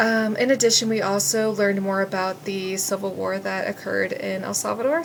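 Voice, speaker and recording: A woman with a medium pitch and ordinary pitch variation talks at a fairly quick pace with hardly any pauses, with noticeable background noise behind her. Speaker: student teacher. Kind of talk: class presentation. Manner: fast when excited; hesitant, many fillers.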